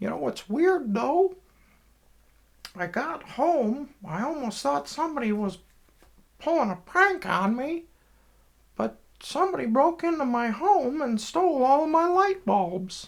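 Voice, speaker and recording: A man's put-on character voice at an extremely high pitch, fairly slow pace with long, frequent pauses. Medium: solo performance.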